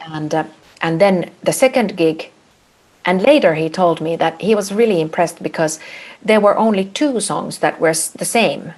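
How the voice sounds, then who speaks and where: A woman with a Finnish accent speaks at medium pitch and a moderate pace, her intonation lively. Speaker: a cappella singer. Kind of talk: casual chat. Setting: video call.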